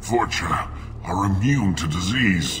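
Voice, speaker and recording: Over loud background noise, a man puts on a character voice, speaking at a fairly slow pace with a fairly low pitch. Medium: machinima. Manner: coughing, weak, bitter.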